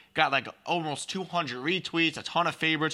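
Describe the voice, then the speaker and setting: On a very clean recording with a silent background, a man talks at a fairly quick pace in a bright, sharp tone with ordinary pitch variation. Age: 20s. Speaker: sports podcast host. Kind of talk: casual sports talk.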